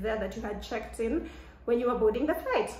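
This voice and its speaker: Audible room echo and noticeable background noise around a woman's fairly high-pitched voice. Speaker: vlogger. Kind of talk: casual chat. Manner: loud; animated.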